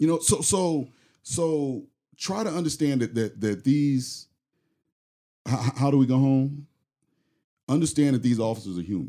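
On a very clean recording with a silent background, a man with a fairly high pitch and a dark, mellow tone speaks at a moderate pace with lively intonation and long, frequent pauses. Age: 40s. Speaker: police officer. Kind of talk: casual chat. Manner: halting.

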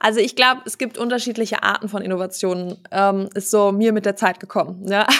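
An unremarkable speaking voice moves at a fairly quick pace. The intonation stays fairly even. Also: woman, medium pitch for a woman. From Germany, Hesse (Wiesbaden). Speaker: business owner, family company successor. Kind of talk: casual interview. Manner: many filler sounds, laughs often.

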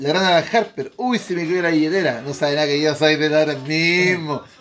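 This man talks at a fairly quick clip in a northern Chilean accent, with hardly any pauses. His pitch is fairly high with ordinary variation, and music plays in the background. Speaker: podcast host. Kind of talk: casual chat among friends. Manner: animated.

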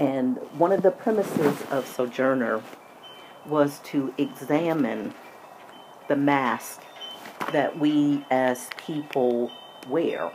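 Speaking at a very slow pace with long, frequent pauses, a woman has a very deep, low pitch and an American accent. Her pitch varies in an ordinary way, and noticeable background noise can be heard. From US, military family moving around. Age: 60s. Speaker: podcast host. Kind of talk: personal monologue.

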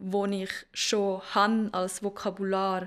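This is a woman speaking at medium pitch. The recording is very clean, with a silent background. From Zurich, Switzerland. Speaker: dancer and choreographer. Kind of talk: casual interview. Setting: studio.

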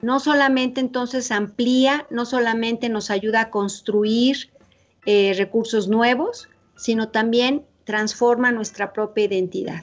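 Talking at a very slow pace, a woman with a fairly high pitch keeps her intonation fairly even. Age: 50s. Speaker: psychologist. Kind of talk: interview. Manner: halting.

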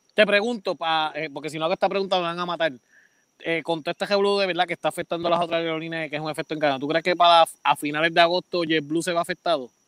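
Speaking at a very fast pace with fairly even intonation, a man with a high-pitched voice is recorded very cleanly against a silent background, the sound dry and close with no echo. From Puerto Rico, Florida municipality. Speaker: podcast co-host. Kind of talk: casual chat.

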